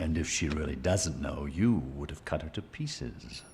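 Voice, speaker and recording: Over clear background noise, a man puts on a character voice with a very deep, low pitch. His pace is moderate and his pitch varies in an ordinary way. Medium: audio drama. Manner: measured, calculating.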